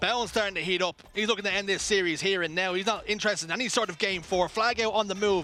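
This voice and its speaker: Raised and projected, a man's high voice carries ordinary pitch variation. He speaks at a very fast pace. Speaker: esports caster. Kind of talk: live commentary. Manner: animated.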